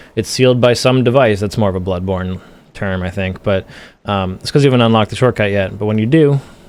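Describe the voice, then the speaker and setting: Fairly low in pitch, a man races along at a very fast pace with ordinary pitch variation. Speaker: gaming video creator. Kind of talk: game walkthrough commentary.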